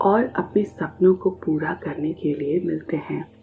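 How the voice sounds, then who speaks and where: A woman talks in a calm tone. Music plays in the background. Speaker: meditation guide. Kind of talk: guided meditation. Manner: slow, calm.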